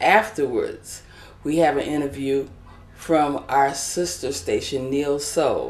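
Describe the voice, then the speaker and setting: A woman with a very deep, low voice speaks with ordinary pitch variation over noticeable background noise. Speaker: talk show host. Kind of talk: casual interview. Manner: animated.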